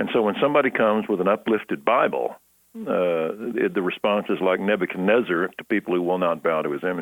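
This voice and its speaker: This is a man speaking. He has a Texan accent. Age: 60s. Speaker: pastor. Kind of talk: interview.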